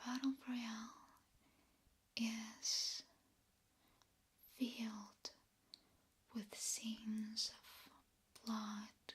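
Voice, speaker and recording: Whispering and soft-spoken, a woman speaks somewhat breathily at a very slow pace with long, frequent pauses. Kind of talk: ASMR whispered talk about horror movies. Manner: whispered, soft-spoken.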